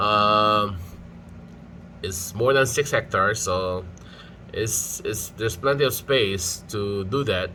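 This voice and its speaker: The tone is bright and sharp, with ordinary pitch variation. The pace is very slow, broken by long, frequent pauses. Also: man, fairly low pitch for a man. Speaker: farm caretaker vlogger. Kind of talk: casual talk to camera. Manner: hesitant, with stutters and pauses.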